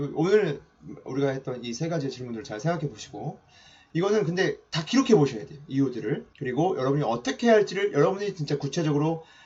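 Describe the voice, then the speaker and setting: A somewhat breathy man with a fairly high pitch races along at a very fast pace, his intonation lively and his loudness swinging widely. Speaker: mentor giving online lectures. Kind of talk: lecture.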